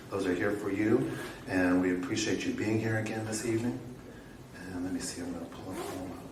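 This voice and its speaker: Noticeable background noise is heard throughout. The speaking is fairly quick, with ordinary pitch variation. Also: man, fairly low pitch for a man. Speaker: poetry event host. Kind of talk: event hosting talk to audience.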